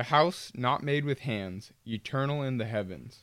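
On a very clean recording with a silent background, a man talks at a fairly slow pace. He has an unremarkable speaking voice at a medium pitch. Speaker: podcast host. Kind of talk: casual conversation about faith.

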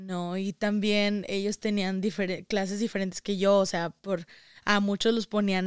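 In a very clean recording with a silent background and a dry, close sound with no echo, a woman of medium pitch speaks at a fairly slow pace. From Saltillo, Coahuila, northern Mexico. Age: young. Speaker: daughter of migrants. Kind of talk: interview.

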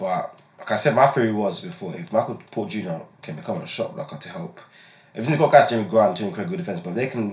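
A man talks at a fairly quick pace and medium pitch, with very wide pitch swings and big swings in loudness over noticeable background noise. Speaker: podcast host and sports commentator. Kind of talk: casual chat and sports discussion.

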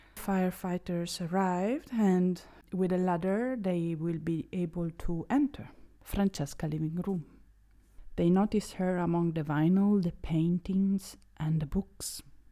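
A woman with an Italian accent, fairly low pitch and ordinary pitch variation, her dark, mellow tone at a fairly slow pace, in a very clean recording with a silent background. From Italy. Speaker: true crime podcaster. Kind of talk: true crime storytelling monologue. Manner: occasionally halting.

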